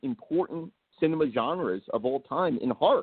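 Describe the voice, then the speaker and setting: A man with an American accent speaks at a moderate pace in a fairly high pitch. His is a plain, everyday voice with lively intonation. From New Jersey. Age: 40s. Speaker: horror writer and filmmaker. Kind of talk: casual chat.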